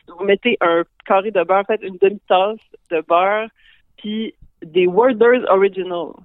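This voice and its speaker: Fairly slow female speech at a medium pitch, broken by long, frequent pauses, with ordinary pitch variation. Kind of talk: casual chat.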